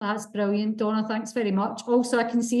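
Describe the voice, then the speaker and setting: A woman speaks in a Scottish accent at a fairly high pitch. Her intonation is monotone and flat. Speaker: event moderator. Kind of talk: panel moderation.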